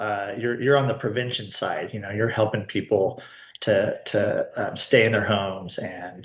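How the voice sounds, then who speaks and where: A man speaks at medium pitch and a moderate pace. He has a normal speaking voice. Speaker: nonprofit executive. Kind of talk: presentation on video call.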